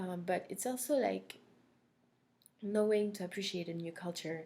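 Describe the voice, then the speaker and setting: A woman with a French accent speaks in a dark, mellow tone. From France (Corsica). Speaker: language instructor. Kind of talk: recorded course introduction. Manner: hesitant, many fillers.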